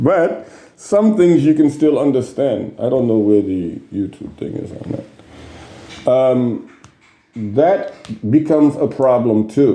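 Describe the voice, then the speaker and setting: Lively intonation comes through at a very slow pace over noticeable background noise. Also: man, medium pitch for a man. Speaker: Islamic teacher answering student questions. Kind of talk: Q&A session. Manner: hesitant with fillers.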